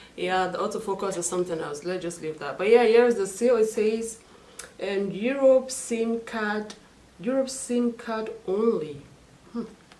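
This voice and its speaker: Against noticeable background noise, a woman with a fairly high pitch sounds animated, moving at a moderate pace with ordinary pitch variation. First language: not English, own mother tongue. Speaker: beauty and lifestyle vlogger. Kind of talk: unboxing video.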